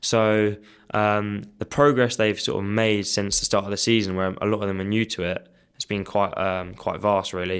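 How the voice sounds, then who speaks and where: The speaker has a southern English accent and a monotone, flat intonation. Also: man, fairly low pitch for a man, moderate pace. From Kent, southeast England. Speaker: hockey development officer. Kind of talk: interview. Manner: hesitant, many fillers.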